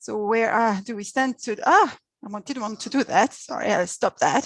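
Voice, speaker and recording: In a French accent, a woman with a fairly high pitch speaks with ordinary pitch variation, her voice dry and close with no echo. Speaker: diplomat. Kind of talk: presentation. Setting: video call.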